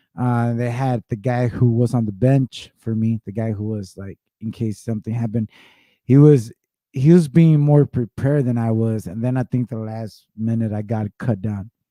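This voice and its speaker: At a moderate pace, a man with a medium pitch and a dark, mellow tone speaks with fairly even intonation in a dry, close sound with no echo. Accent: Spanish. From Mexico, Monterrey. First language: Spanish. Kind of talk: casual chat. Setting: live podcast. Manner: halting, repeats words.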